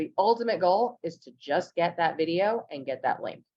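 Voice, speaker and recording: This woman has an American accent. Her pitch sits fairly low. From Los Angeles, US. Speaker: real estate content strategist. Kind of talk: webinar tutorial.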